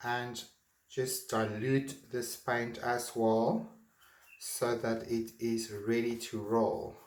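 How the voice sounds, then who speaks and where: With a non-native accent, a man at medium pitch speaks at a very slow pace with long, frequent pauses, and audible room echo surrounds his voice. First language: not English. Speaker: art teacher. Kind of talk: tutorial. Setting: home art studio. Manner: halting.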